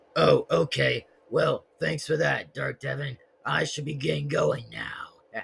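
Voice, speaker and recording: Using a put-on character voice, a man talks at a fairly slow pace in a raspy way. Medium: solo performance. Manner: casual, friendly.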